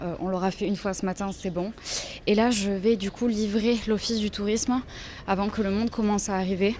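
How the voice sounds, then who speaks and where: Medium-pitched female voice with fairly even intonation, over noticeable background noise. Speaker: vlogger, freelance illustrator. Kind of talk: casual vlog talk to camera. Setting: outdoors at a market. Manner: soft-spoken, speaking quietly.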